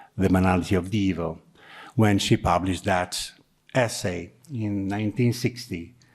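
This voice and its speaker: On a very clean recording with a silent background, a man speaks with an Italian accent and fairly even intonation. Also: fairly low pitch for a man, moderate pace. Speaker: university program director. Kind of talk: formal introduction.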